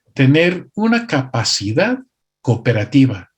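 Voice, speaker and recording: A man's fairly high, somewhat breathy voice with very wide pitch swings. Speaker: pastor and missionary. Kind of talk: conference workshop talk. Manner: occasionally halting, self-correcting.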